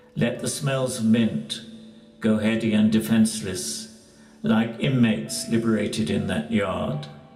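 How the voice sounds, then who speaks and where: A man with a medium-pitched voice speaks at a fairly slow pace with lively intonation over music in the background. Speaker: poetry reader. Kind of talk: poetry reading.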